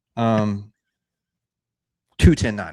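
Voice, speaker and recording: Pitched fairly low, a man talks with a slight Texas accent. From Texas, Houston area. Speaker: whiskey channel co-host. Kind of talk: casual chat. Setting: live stream.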